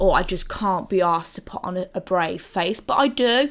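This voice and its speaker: Speaking at a moderate pace with an English accent, a woman keeps a medium pitch and ordinary pitch variation. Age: 30s. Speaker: gaming video creator. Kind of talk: personal testimony to camera. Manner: halting, with many fillers; loud.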